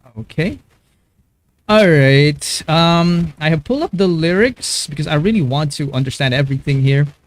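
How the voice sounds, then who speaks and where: A man with a Filipino accent, fairly high-pitched, with ordinary pitch variation. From Philippines. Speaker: YouTube music reactor. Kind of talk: live-stream reaction commentary. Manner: halting, many fillers and repetitions.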